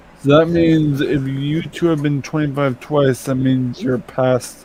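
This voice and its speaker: A man's fairly high voice, fairly slow and nearly pauseless, with fairly even intonation over noticeable background noise. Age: 20s. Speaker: viewer on call. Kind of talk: casual chat.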